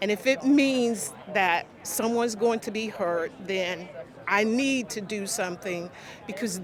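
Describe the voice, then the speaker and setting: A woman's very slow speech with lively intonation, amid noticeable background noise and audible room echo. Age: 60s. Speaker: teacher. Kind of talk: testimony.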